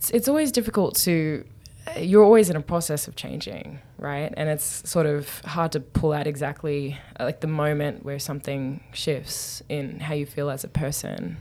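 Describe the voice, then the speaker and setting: A woman with an Australian accent talks at a moderate pace with a very deep, low pitch and ordinary pitch variation, her loudness swinging widely against noticeable background noise. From Newcastle, Australia. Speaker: anthropologist, professor. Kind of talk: interview.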